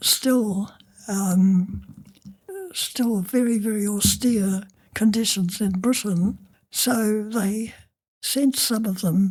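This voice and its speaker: A woman with a medium pitch and a somewhat breathy voice speaks at a very slow pace with long, frequent pauses. Her intonation stays fairly even. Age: 80s+. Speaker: retired nurse. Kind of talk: interview answer.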